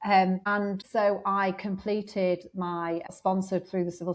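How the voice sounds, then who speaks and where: In a northern English accent, a woman speaks at a medium pitch with flat, monotone intonation. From northern England, Blackpool. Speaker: law lecturer. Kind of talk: interview. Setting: podcast.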